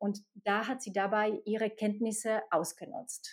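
A woman is talking at a fairly high pitch. Her recording is very clean, with nothing heard in the background. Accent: Slovak. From Slovakia. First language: Slovak (speaking German). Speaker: HR expert at a games company. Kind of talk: interview.

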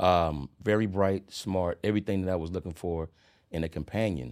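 A man's very deep, low voice with ordinary pitch variation, on a very clean recording with a silent background. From Charlotte, North Carolina. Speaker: truck driver and real estate developer. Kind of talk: casual chat.

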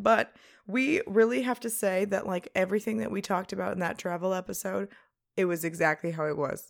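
On a very clean recording with a silent background, a woman of medium pitch speaks at a fairly quick pace with lively intonation and vocal fry. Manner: animated.

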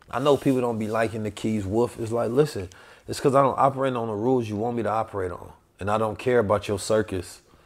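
A man talks at a fairly quick pace in a fairly low pitch. His tone is animated. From Oakland, California and St. Louis. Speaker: podcast host. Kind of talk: casual chat.

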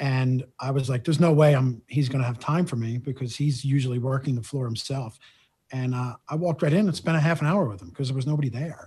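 A man with an American accent, dark, mellow tone, somewhat breathy delivery, medium pitch, ordinary pitch variation and very fast pace, over a quiet background. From South Philadelphia. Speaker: independent cannabis sales vendor. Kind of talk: casual interview.

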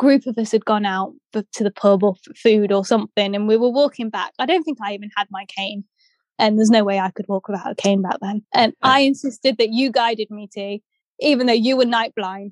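Recorded dry and close with no echo, the speaker uses an English accent at a fairly quick pace, with ordinary pitch variation and big swings in loudness. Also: woman, fairly high pitch for a woman. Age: 30s. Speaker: blind athlete and blogger, former documentary participant. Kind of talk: casual chat.

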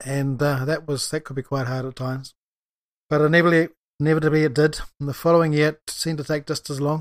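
On a very clean recording with a silent background, a man with a New Zealand accent speaks fairly quickly at a fairly high pitch in a monotone, flat intonation. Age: 60s. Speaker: farmer and author, podcast host. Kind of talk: solo podcast monologue, casual and rambling. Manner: rambling, hesitant with fillers.

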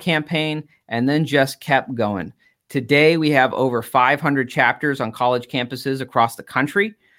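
A man with an American accent and a plain, everyday voice, fairly high in pitch, at a moderate pace with ordinary pitch variation, on a very clean recording with a silent background. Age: 30s. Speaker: political activist and former state senator. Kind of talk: casual interview on a live stream.

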